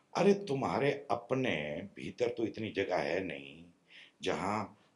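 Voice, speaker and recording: Using a normal speaking voice, a man talks with lively intonation. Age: 60s. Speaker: spiritual teacher. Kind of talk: spiritual discourse. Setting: meditation retreat with small audience.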